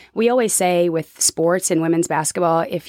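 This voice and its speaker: On a very clean recording with a silent background and a dry, close sound with no echo, a woman with an American accent uses an ordinary speaking voice at a fairly low pitch, moderate pace and ordinary pitch variation. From Oklahoma City, Oklahoma. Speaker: college basketball coach. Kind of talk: casual interview chat.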